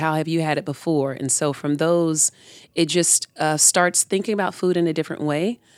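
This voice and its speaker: A woman talks with an American accent at a fairly quick pace. Her very deep, low pitch holds fairly even intonation. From Tampa, Florida. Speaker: urban community farmer. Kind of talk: interview.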